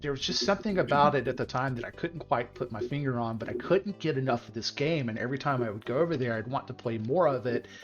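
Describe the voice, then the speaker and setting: Over noticeable background noise, a man at a medium pitch talks at a very fast pace with hardly any pauses and ordinary pitch variation. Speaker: video game stream host. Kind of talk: casual chat. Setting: live stream. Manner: stuttering, halting.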